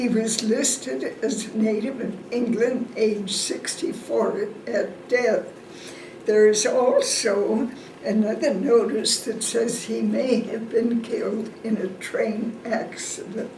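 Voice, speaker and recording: A woman's fairly high voice with fairly even intonation at a very slow pace, amid noticeable background noise and audible room echo. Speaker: family historian. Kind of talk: family history talk.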